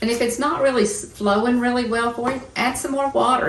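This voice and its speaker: A woman's voice carries audible room echo. Her pitch varies in an ordinary way. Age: 60s. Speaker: painting teacher and podcast co-host. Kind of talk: casual chat; painting tutorial. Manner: relaxed, halting with fillers.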